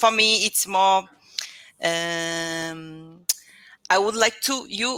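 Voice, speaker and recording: Speaking very slowly with long, frequent pauses, a woman has a Brazilian accent. Her medium pitch carries a bright, sharp tone. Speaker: English learner. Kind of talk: casual chat. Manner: halting.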